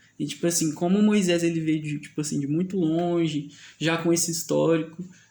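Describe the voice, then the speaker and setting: Quick-paced and monotone, a man with high pitch and a dark, mellow tone speaks with flat intonation at a fairly quick pace. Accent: Goiás. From Goiás, Brazil. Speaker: podcast host. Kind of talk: casual chat. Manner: halting, many fillers.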